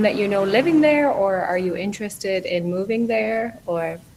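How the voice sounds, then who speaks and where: A woman's lively intonation comes through noticeable background noise as she talks fairly slowly. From Irish Midlands. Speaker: online English tutor. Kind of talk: casual conversation practice.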